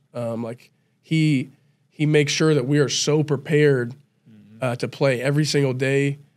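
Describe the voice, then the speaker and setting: Monotone, flat intonation runs at a moderate pace against a quiet background. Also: man, fairly high pitch for a man. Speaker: college football player; podcast guest. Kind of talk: casual chat. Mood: calm, reflective. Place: studio. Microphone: studio mic.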